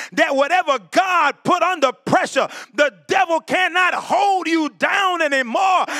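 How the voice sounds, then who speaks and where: In a raised, projected voice with an animated tone, a man speaks at a fairly slow pace with ordinary pitch variation, and the sound is dry and close with no echo. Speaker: preacher. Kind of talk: sermon. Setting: church. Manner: animated, preaching in full flow, call-and-response with congregation; loud, exhorting.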